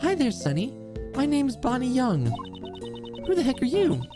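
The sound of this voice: Clear background music under a put-on character voice at a moderate pace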